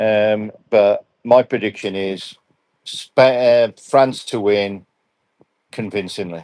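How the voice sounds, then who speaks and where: Speaking very slowly with an English accent, a man uses a fairly low pitch. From England. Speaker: football referee and assessor. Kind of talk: live interview. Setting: live stream. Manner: halting.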